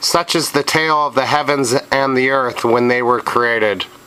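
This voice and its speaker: Noticeable background noise runs under this clip. A man talks at a medium pitch with fairly even intonation. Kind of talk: scripture reading. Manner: stuttering in places.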